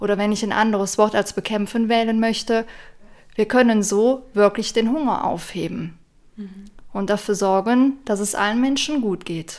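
In an ordinary speaking voice, a woman talks at a moderate pace with a fairly high pitch and fairly even intonation. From western Germany, near Aachen. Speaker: vegan nutrition advisor. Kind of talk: casual chat.

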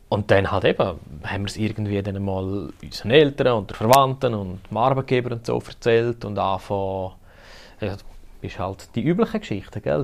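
A man speaks in a Graubünden accent. The background is quiet. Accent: Bündner Swiss German. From Graubünden, Switzerland. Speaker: podcast host. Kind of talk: casual chat.

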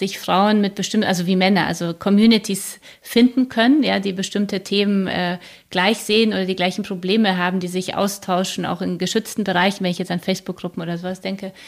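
Monotone, flat intonation at a fairly quick pace on a very clean recording with a silent background. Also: woman. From Poland, then Germany from age seven. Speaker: publisher and podcaster. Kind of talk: interview.

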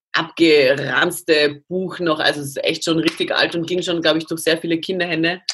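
The speech runs at a fairly quick pace in a monotone with flat intonation. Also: woman. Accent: Austrian. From Austria. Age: 30s. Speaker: CrossFit athlete. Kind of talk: interview.

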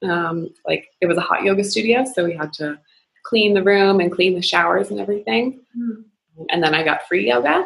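With a Maritime Canadian accent, a woman speaks at a fairly quick pace. Her pitch is fairly low and her intonation lively. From Nova Scotia, Canada. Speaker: investment bank employee, yoga practitioner. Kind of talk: casual interview.

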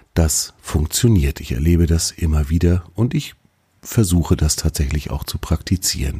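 Vocal fry runs through this voice, which has ordinary pitch variation. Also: man, very deep, low pitch for a man, moderate pace. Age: 40s. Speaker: podcast host. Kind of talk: solo podcast monologue. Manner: casual, conversational.

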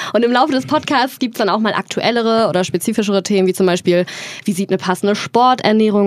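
A woman's very fast speech with lively intonation. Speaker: podcast co-host. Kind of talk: casual chat.

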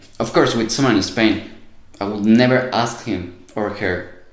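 With a Spanish accent, a man speaks fairly low with ordinary pitch variation. The room echoes audibly, and background noise is noticeable. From Mexico. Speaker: university student. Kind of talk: casual interview.

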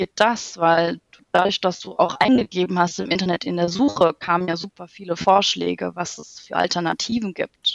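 A woman with an unremarkable speaking voice talks at a fairly slow pace, with a fairly low pitch and ordinary pitch variation. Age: 30s. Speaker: project manager in construction, course participant. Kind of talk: casual interview.

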